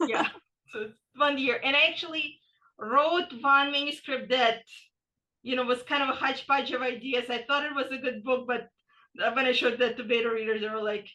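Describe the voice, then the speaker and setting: A raised, projected voice with a bright, sharp tone at a fairly quick pace. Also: woman. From Ukraine (Soviet era), moved to US 1991. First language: Russian. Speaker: author. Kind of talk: casual chat. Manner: animated.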